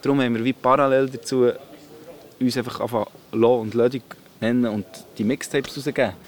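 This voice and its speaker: Over noticeable background noise, a man speaks at a fairly quick pace and a medium pitch. His intonation is monotone and flat, broken by long, frequent pauses. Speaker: rapper. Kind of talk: interview.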